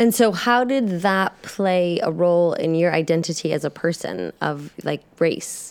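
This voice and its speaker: Pitched fairly low, a woman's normal speaking voice shows ordinary pitch variation. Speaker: podcast host interviewing church members. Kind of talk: casual interview.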